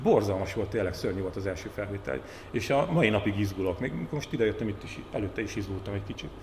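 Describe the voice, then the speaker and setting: Amid noticeable background noise and audible room echo, a man with a fairly low pitch talks at a very fast pace. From Hungary, Borsod-Abaúj-Zemplén county. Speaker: journalist and TV talk show host. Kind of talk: casual chat.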